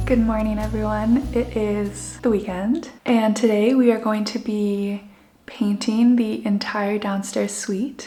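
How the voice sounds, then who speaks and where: A calm, monotone voice with flat intonation, in a Canadian accent, at a fairly slow pace, with audible room echo and noticeable background noise. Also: woman, fairly high pitch for a woman. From Canada. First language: Spanish. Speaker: lifestyle vlogger. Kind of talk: casual vlog talk to camera. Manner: calm, slow-paced.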